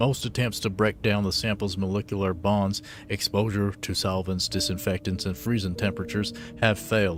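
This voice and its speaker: With music in the background, a man of fairly low pitch talks at a fairly quick pace with ordinary pitch variation. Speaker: gaming streamer. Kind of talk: reading aloud in-game documents during a game livestream. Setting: livestream. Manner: halting, stumbling over words while reading.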